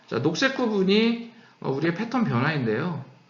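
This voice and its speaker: A man talks with very wide pitch swings. Noticeable background noise and audible room echo surround his voice. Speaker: company CEO giving lecture. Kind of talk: lecture. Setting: online lecture. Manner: speeding up, hurried.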